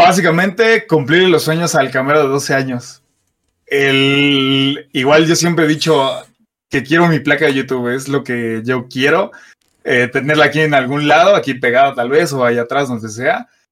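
Speaking in a Mexico City accent, a man uses a fairly high pitch, ordinary pitch variation and a moderate pace. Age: 20s. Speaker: car content creator. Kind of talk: casual chat.

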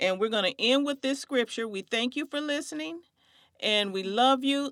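A woman's high voice with ordinary pitch variation, dry and close with no echo, in a very clean recording with a silent background. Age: 50s. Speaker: podcast host, community outreach consultant. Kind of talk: faith-based conversation.

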